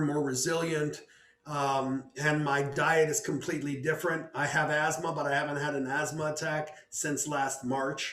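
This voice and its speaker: A man with an American accent talks at a fairly slow pace in a monotone, flat way. Noticeable background noise is present. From United States. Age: 60s. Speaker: composer. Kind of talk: interview. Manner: halting, many repetitions.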